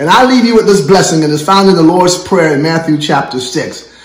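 The voice has a warm tone and ordinary pitch variation. Noticeable background noise sits behind it. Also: man. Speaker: church prayer director and pastor. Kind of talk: sermon-style thank-you message and closing blessing. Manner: fervent, preacherly, warm and exhortatory.

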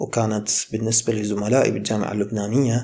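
At a fairly quick pace, a man speaks in a medium-pitched, somewhat breathy voice. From Iraq. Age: 20s. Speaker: medical student and YouTuber; YouTuber. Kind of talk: motivational talk. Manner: casual. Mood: calm, reflective. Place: home room. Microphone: studio mic.

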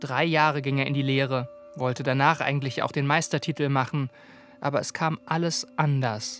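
Fairly high pitch for a man, with fairly even intonation and music in the background. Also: moderate pace. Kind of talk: TV documentary narration.

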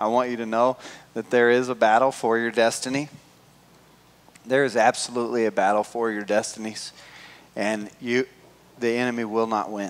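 A man speaks at a moderate pace with monotone, flat intonation. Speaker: pastor. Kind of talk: sermon. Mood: warm, grateful. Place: church.

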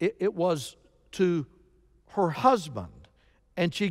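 The speaker reads in an unforced reading voice.

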